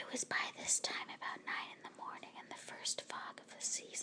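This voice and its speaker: Whispering at a moderate pace, a woman speaks. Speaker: ASMR storyteller. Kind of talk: audiobook reading of a classic novel. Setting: home recording with low-quality microphone. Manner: whispered.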